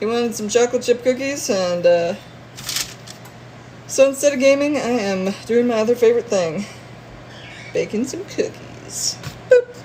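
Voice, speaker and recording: With an American accent, a woman speaks in an animated tone at a high pitch, her intonation lively. She leaves long, frequent pauses, and there is noticeable background noise. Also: moderate pace. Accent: northern long O's with slight southern twang. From northern US. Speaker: streamer. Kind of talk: casual live stream chat. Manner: animated, lots of noises.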